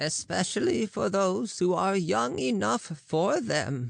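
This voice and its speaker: A woman puts on a character voice at a fairly low pitch. She speaks at a very slow pace with very wide pitch swings. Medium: read story. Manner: wry, knowing.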